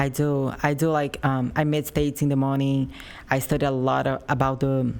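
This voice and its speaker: Speaking at a moderate pace, a woman with a very deep, low voice talks in a strong Brazilian accent. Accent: heavy Brazilian Portuguese. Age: 20s. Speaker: professional bodybuilder. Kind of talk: interview. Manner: animated.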